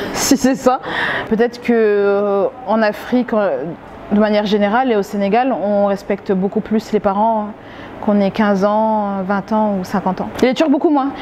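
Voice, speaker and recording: Noticeable noise sits in the background. A woman talks at a moderate pace and a fairly high pitch with ordinary pitch variation. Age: 30s. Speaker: restaurant owner. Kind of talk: interview. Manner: hesitant, many fillers.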